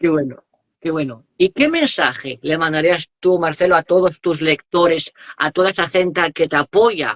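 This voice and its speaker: He is a man with a high pitch. His pace is moderate, and his pitch varies in an ordinary way. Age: young. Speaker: interviewer. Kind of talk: interview.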